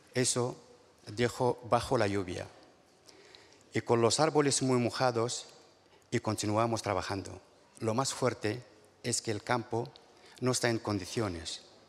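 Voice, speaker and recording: A man at a fairly slow pace, with fairly even intonation and long, frequent pauses. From Morocco. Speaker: farm worker and union delegate. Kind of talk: panel testimony; testimony at a panel. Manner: halting, stumbling. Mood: hesitant, earnest. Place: stage. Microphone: handheld.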